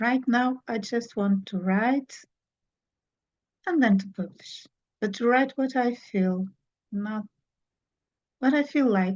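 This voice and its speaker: In a Portuguese accent, a somewhat breathy woman speaks at a very slow pace with ordinary pitch variation and long, frequent pauses. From Portugal. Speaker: children's book author. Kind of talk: interview. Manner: halting.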